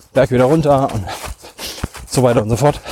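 Noticeable background noise sits under this recording. A man talks, his pitch moving in an ordinary way. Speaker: podcast host, trail runner. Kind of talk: solo monologue while running. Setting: outdoors in a forest. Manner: halting, many fillers.

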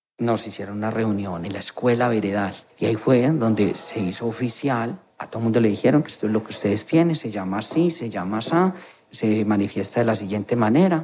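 A man with a medium-pitched voice and ordinary pitch variation talks at a fairly quick pace against noticeable background noise. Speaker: nurse. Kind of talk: interview testimony.

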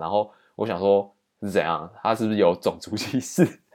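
On a very clean recording with a silent background, a man with a Taiwanese accent speaks in a fairly low pitch. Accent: Taiwanese Mandarin. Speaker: podcast host, exchange student. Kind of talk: solo storytelling monologue.

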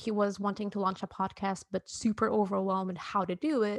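A woman at medium pitch with a Portuguese accent, at a fairly quick pace, on a very clean recording with a silent background. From southern Portugal. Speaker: podcast host and illustrator. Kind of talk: interview, casual chat.

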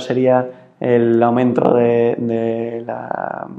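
A man talks in a monotone, flat intonation. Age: 20s. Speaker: impact investor. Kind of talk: interview. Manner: halting, many fillers.

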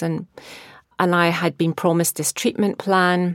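In a Scottish accent, a woman speaks with a fairly low pitch and a monotone, flat intonation. The recording is very clean with a silent background, giving a dry, close sound with no echo. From Scotland. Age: 50s. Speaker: therapist and mindfulness coach. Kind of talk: personal testimony.

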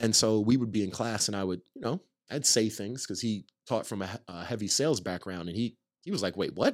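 In a very clean recording with a silent background, a man with an unremarkable speaking voice talks at a fairly quick pace, fairly low in pitch with ordinary pitch variation. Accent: American. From New York (Nyack, north of New York City). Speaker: tech startup founder. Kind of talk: interview conversation. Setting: studio.

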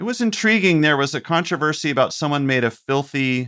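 Fairly quick and full of lively intonation, a man with an American accent and an ordinary speaking voice talks in a very clean recording with a silent background. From US South, North Carolina (Chapel Hill). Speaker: comedian and TV writer. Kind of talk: casual chat.

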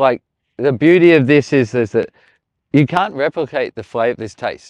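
A man with an Australian accent speaks with ordinary pitch variation in a dry, close recording with no echo and a quiet background. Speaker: chef. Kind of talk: casual chat while cooking outdoors. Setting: outdoors in the desert at a barbecue.

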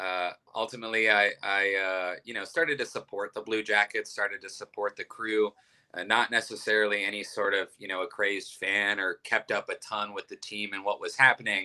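At a moderate pace, a man with a Midwestern American accent speaks with big swings in loudness on a dry, close recording with no echo. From Ohio, Youngstown. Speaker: restaurant owner and chef. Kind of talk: interview.

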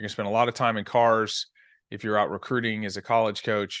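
The background is quiet. A man speaks with a fairly low pitch. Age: 40s. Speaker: sports scientist. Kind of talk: interview. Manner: animated.

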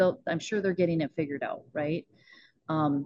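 A woman speaks at a fairly low pitch with a North Dakota accent. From northwest North Dakota. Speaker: mindset coach and rancher. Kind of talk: podcast interview. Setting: video call.

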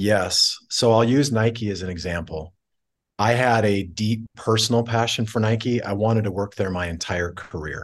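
In an ordinary speaking voice, a man with fairly low pitch talks at a moderate pace with ordinary pitch variation against a quiet background. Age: 40s. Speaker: tech company CEO. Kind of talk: interview conversation.

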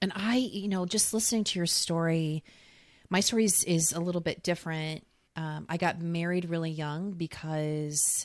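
A woman's fairly low-pitched, normal speaking voice at a moderate pace, with fairly even intonation, in a very clean recording with a silent background. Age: 40s. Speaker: podcast host and dating coach. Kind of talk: casual interview chat.

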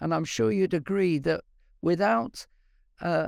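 Over a silent background in a very clean recording, a high-pitched man speaks at a fairly slow pace with lively intonation. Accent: British. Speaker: science professor and creationist speaker. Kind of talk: interview about science and faith. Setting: live video stream.

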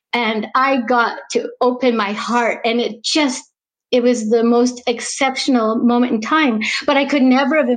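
With a Canadian accent, a woman speaks at a high pitch. Her tone is animated. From Canadian prairies. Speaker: stage actress and theatre teacher. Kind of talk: interview. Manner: animated, emotional.

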